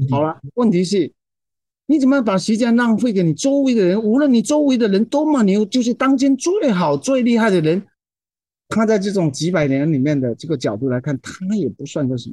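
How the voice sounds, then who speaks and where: In a dry, close sound with no echo, a man with a dark, mellow tone talks at a fairly quick pace, his high pitch making very wide swings. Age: 60s. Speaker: poet and translator. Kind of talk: casual chat.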